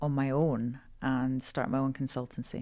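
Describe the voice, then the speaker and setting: A woman speaks in a Scottish accent at a moderate pace. The recording is very clean, with a silent background. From Scotland. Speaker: HR executive. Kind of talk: interview.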